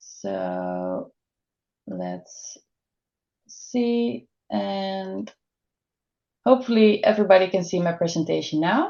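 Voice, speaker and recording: A woman with a Dutch accent at a very slow pace, with long, frequent pauses and big swings in loudness. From Netherlands. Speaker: dietitian. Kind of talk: webinar presentation.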